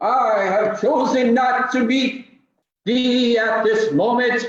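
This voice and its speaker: Slight echo surrounds a man doing a put-on character voice at an extremely high pitch and a very slow pace. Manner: menacing, archaic.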